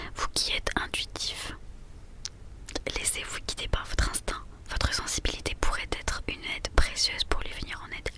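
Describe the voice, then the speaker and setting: A woman whispers at a moderate pace with noticeable background noise. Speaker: ASMR creator. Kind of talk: ASMR horoscope reading. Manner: whispered.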